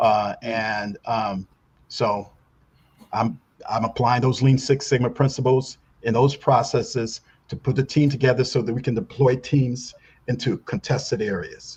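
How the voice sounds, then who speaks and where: Speaking at a fairly slow pace, a man has a somewhat breathy voice, a medium pitch and fairly even intonation. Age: 70s. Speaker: newspaper publisher and Navy contractor. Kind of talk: interview. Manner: halting, many repetitions and fillers.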